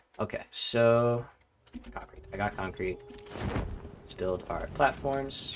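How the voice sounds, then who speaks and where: With an American accent, a man speaks very slowly, pausing long and often, his loudness swinging widely. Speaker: video game streamer. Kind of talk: gameplay livestream chat. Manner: casual, filler-heavy.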